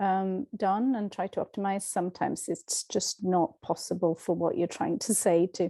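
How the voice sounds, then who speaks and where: A woman's fairly slow speech in a Swedish accent, with a dark, mellow tone, ordinary pitch variation, and a dry, close sound with no echo against a quiet background. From Sweden. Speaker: language teacher. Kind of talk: tutorial. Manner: halting.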